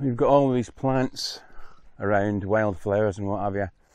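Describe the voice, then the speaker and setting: A man at a moderate pace with ordinary pitch variation in a dry sound with no echo. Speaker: travel vlogger. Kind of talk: casual vlog chat. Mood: cheerful, joking. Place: open country. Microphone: lapel.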